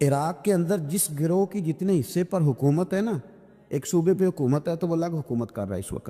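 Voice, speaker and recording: This man has a high voice with a dark, mellow tone and ordinary pitch variation. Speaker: Islamic preacher. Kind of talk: religious sermon (bayan) to an audience.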